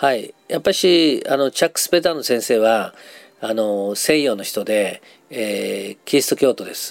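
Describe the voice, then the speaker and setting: In an unremarkable speaking voice, the delivery moves at a moderate pace with lively intonation and big swings in loudness. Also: man, medium pitch for a man. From Japan, Nagasaki. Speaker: psychologist and counselor. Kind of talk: interview.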